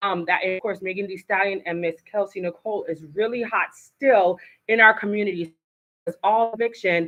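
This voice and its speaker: At a moderate pace, a woman speaks with an American accent. Her pitch is medium. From Haitian American. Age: 40s. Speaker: talk show host. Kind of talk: live talk show. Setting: studio. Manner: animated.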